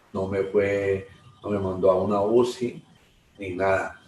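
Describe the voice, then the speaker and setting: Over noticeable background noise, the speech moves at a very slow pace with monotone, flat intonation. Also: man. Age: 60s. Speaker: churchgoer giving testimony. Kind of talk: testimony. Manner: halting.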